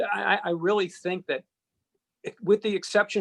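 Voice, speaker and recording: Speaking at a fairly quick pace with a Boston accent, a man sounds dry and close with no echo. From Boston area, Massachusetts (Needham). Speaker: sports radio and TV host. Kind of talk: podcast interview.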